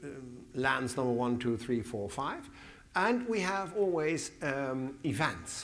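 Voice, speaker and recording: This man speaks with a Dutch accent at a medium pitch. His pace is fairly slow, and audible room echo is present. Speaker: museum director. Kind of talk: conference Q&A. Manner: halting.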